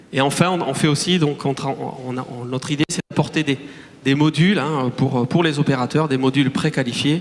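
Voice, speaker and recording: There is noticeable background noise behind a man with a fairly high pitch. He talks at a moderate pace with fairly even intonation. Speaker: start-up CEO. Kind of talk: conference talk. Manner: hesitant, many fillers and restarts.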